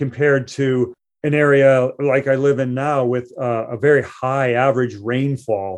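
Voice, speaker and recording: A man is speaking. His pitch is medium. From US Midwest, Elkhart, Indiana. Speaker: poet. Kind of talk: interview. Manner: halting, frequent repetitions.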